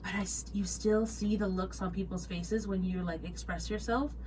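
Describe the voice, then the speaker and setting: Moderately paced speech from a woman, with audible room echo. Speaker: hospitality worker and podcast co-host. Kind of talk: casual chat. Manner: stammering repetitions.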